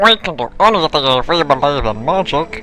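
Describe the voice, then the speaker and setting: Using a put-on character voice, a man talks at a moderate pace amid clear background noise. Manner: earnest, cartoonish.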